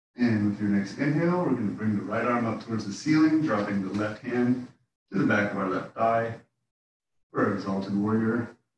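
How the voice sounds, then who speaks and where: Audible room echo surrounds a man speaking at a medium pitch. He moves at a fairly quick pace with ordinary pitch variation. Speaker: yoga instructor. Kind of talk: guided yoga class. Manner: calm; relaxed.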